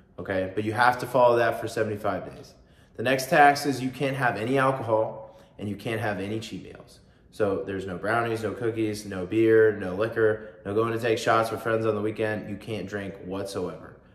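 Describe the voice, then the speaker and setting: Audible room echo surrounds a man whose intonation stays fairly even. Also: moderate pace. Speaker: fitness vlogger. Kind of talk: casual vlog explanation. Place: home room. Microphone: phone near.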